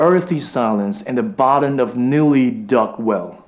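Over noticeable background noise, a man with a medium pitch speaks at a fairly slow pace with very wide pitch swings. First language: Mandarin Chinese. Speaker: bedtime story podcaster. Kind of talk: literary audiobook reading of a love letter. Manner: slow, soft, intimate bedtime narration.

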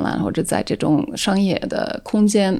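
Speaking at a fairly slow pace, a woman uses a medium pitch with vocal fry. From Netherlands. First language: Dutch (speaking Chinese). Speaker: independent curator. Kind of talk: casual chat. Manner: halting, many fillers.

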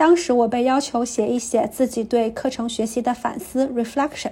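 This woman speaks in a high pitch with fairly even intonation. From small county town in Anhui, China. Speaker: listener submitting a recorded story. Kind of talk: reading aloud.

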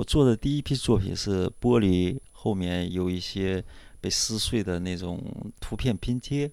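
On a very clean recording with a silent background, a man with a fairly low pitch and a dark, mellow tone speaks at a fairly slow pace with ordinary pitch variation. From northern China. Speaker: artist. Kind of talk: casual interview.

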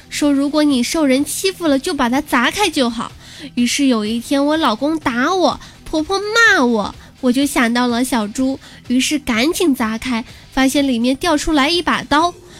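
Over noticeable background noise, a woman speaks at a high pitch and moderate pace with lively intonation. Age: 20s. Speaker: podcast host. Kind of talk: comedic monologue. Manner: animated.

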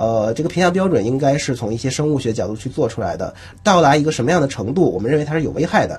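Lively intonation and a very fast pace come from a man. His voice sounds somewhat breathy. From Northeast China. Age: 20s. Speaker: scientist and crosstalk comedian. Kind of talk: radio interview.

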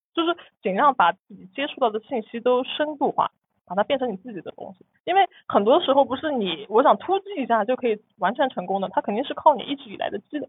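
Her voice high-pitched with very wide pitch swings, a woman speaks at a fairly quick pace. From Nantong, Jiangsu, China. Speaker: guest sharing personal finance story. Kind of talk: interview, personal story. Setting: recording studio. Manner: repeats words, stammers.

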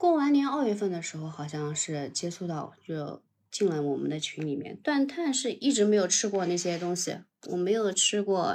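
With very wide pitch swings, a woman speaks at a medium pitch and a moderate pace. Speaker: livestream caller sharing keto experience. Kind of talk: casual chat.

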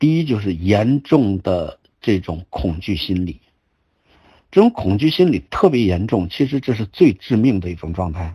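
This man's fairly low voice has a dark, mellow tone and is somewhat breathy, with very wide pitch swings. He talks at a moderate pace over a quiet background. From China, Shandong (Zibo). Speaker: qigong teacher and cancer survivor. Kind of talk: lecture. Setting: online group talk. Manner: halting.

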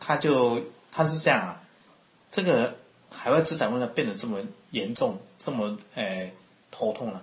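Amid noticeable background noise, a man with a Taiwanese accent speaks at a moderate pace and medium pitch, using lively intonation, big swings in loudness, and long, frequent pauses. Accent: Taiwanese Mandarin. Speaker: accountant. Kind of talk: interview.

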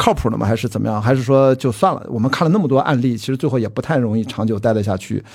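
A very fast, medium-pitched male voice with hardly any pauses and ordinary pitch variation, over noticeable background noise. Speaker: film producer and podcast host. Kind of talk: casual chat.

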